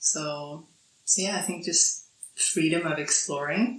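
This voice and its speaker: Over noticeable background noise, a woman with a Swedish accent speaks at a fairly slow pace with a very deep, low pitch. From Sweden. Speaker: podcast guest, digital nomad. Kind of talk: casual interview. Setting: island in Thailand.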